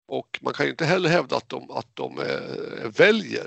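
The speaker is a man. He talks at a moderate pace. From Sweden, Jämtland. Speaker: IT database worker, media critic group member. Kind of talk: casual interview chat. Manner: halting, repetitive.

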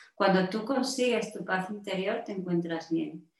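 At a moderate pace, a woman uses a normal speaking voice with medium pitch and ordinary pitch variation. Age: 50s. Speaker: health coach and mentor. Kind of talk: interview.

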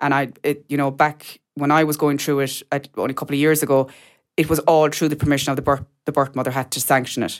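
A woman with a very deep, low voice and a Kerry accent, very fast and monotone, on a very clean recording with a silent background. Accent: Kerry Irish. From Ireland, mid-Kerry. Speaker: adopted person sharing her story. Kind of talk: interview testimony. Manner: halting, many fillers.

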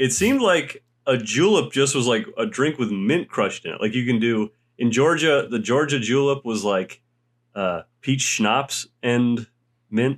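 With lively intonation and a fairly slow pace, a normal speaking voice comes through in a very clean recording with a silent background. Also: man. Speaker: podcast co-host. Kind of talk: casual chat.

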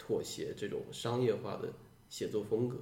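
A man speaks at a fairly slow pace amid audible room echo. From Guangdong, Shantou. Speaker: science fiction writer. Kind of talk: podcast conversation.

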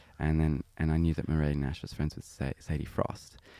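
With a dark, mellow tone, a man speaks at a very deep, low pitch. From Sydney, Australia. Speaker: singer-songwriter. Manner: chatty, laughs often.

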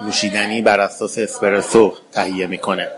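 A man talks in a monotone with flat intonation over noticeable background noise. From Iran, Tehran. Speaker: barista champion. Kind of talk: interview.

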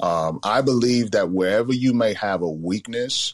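A man with a New York accent speaks at a very slow pace with ordinary pitch variation, in a dry, close sound with no echo on a very clean recording with a silent background. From Bronx, New York. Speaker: business coach. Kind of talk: interview.

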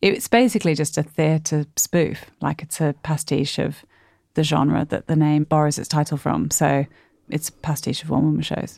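A woman's very deep, low pitch with vocal fry at a moderate pace, on a very clean recording with a silent background and a dry, close sound with no echo. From Australia, Sydney. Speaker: comedian and theatre writer-performer. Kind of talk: casual chat.

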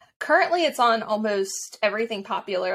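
In an American accent, a woman speaks at medium pitch with a bright, sharp tone on a very clean recording with a silent background. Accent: mild Southern, watered down. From US South, Mississippi Gulf Coast. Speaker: history blogger and podcaster. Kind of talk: casual interview.

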